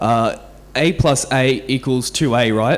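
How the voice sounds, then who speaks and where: A man's fairly high-pitched voice with an Australian accent and ordinary pitch variation. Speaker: software engineer, conference speaker. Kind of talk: conference talk. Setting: stage with audience. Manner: halting, many repeated words and fillers.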